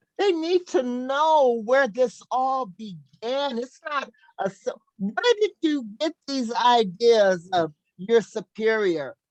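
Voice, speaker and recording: Loud and high-pitched, a woman speaks at a very slow pace with very wide pitch swings, and the sound is dry and close with no echo. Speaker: talk show host. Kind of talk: casual chat.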